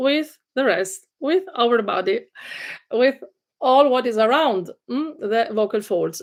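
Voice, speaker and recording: A woman with an Italian accent and a high pitch talks at a very slow pace with lively intonation on a very clean recording with a silent background. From Italy, Genoa. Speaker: vocal coach. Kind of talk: livestream lecture. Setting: live video stream. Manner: hesitant with frequent fillers.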